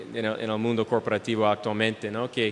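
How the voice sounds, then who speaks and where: Through noticeable background noise, a man with an English accent speaks at a medium pitch. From United States. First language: English (speaking Spanish). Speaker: speaker. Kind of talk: lecture. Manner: halting, many fillers.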